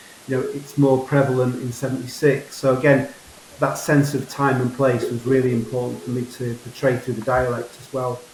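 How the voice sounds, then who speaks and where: A man with a Yorkshire accent at a medium pitch, moderate pace and monotone, flat intonation. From Yorkshire Dales, England. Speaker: novelist. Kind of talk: interview answer.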